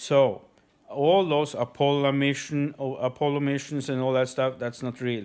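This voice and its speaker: A man with a non-native accent speaks at a medium pitch with ordinary pitch variation. The recording is very clean and the background silent. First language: not English. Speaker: conspiracy video uploader. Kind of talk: monologue to camera. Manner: halting, many fillers.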